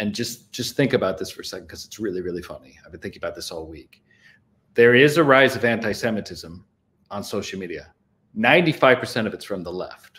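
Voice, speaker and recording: With lively intonation and big swings in loudness, a man talks at a fairly quick pace. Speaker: podcast co-host, remote guest. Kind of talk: political commentary. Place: home room.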